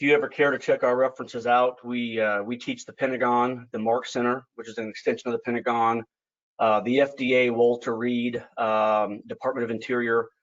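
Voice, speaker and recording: His medium-pitched voice stays monotone and flat while the loudness swings widely, and the man talks at a fairly quick pace. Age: 40s. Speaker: financial educator. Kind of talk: webinar presentation. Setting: online webinar. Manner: fast; many filler words.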